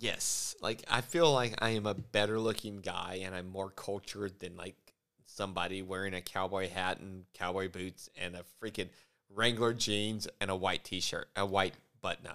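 Recorded very cleanly with a silent background, a man talks at a moderate pace in a fairly low pitch, his tone bright and sharp and his intonation fairly even. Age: 40s. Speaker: podcast co-host. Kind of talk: casual chat.

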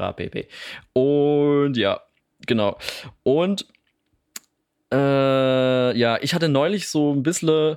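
Pausing long and often, a man with a fairly high voice speaks very slowly with ordinary pitch variation. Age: 20s. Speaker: podcast co-host. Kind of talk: casual chat.

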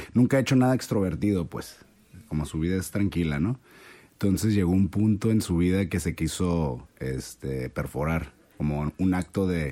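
A man with a Mexican accent, a very deep, low pitch and a dark, mellow tone, at a moderate pace with lively intonation. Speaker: podcast guest. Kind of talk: casual chat.

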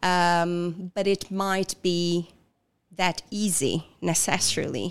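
On a very clean recording with a silent background, a woman with an Italian accent speaks at a fairly low pitch. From southern Italy. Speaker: coach. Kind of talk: interview. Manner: halting, frequent fillers.

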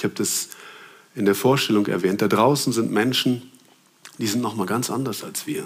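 A man's medium-pitched voice at a moderate pace, with ordinary pitch variation, long, frequent pauses and audible room echo. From Germany. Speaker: preacher. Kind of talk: sermon.

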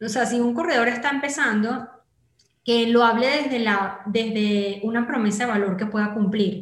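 Against audible room echo, a woman speaks at a moderate pace with a fairly high pitch and fairly even intonation. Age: 30s. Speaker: digital marketing entrepreneur. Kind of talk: interview conversation.

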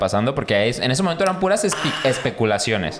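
A man talks at a very fast pace with lively intonation. Noticeable background noise sits behind him. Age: 30s. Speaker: podcast host. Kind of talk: casual chat.

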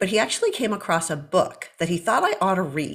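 Speaking at a moderate pace in a medium pitch with ordinary pitch variation, a woman has a normal speaking voice. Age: 50s. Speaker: medical doctor. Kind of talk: interview.

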